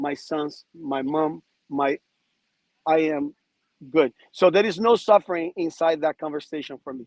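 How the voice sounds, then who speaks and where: A man with a Portuguese accent speaks at a fairly slow pace with long, frequent pauses, ordinary pitch variation and big swings in loudness, in a dry, close sound with no echo. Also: fairly high pitch for a man. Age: 50s. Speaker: podcast guest. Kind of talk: casual chat. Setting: outdoors.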